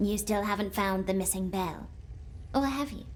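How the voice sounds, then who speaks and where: Over clear background noise, a female-sounding voice at a medium pitch for a woman performs a put-on character voice at a moderate pace. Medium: video game. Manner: calm, cryptic, commanding.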